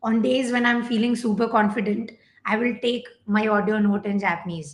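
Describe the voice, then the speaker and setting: Fairly even intonation at a moderate pace, somewhat breathy, with a Gujarati accent. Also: woman. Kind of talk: tutorial. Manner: casual, hesitant with fillers.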